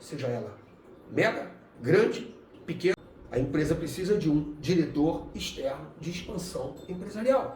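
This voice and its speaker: In a room with audible echo and noticeable background noise, a man speaks slowly-ish in a fairly high voice at a fairly slow pace. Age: 50s. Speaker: business consultant. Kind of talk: explainer video monologue. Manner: casual, somewhat halting.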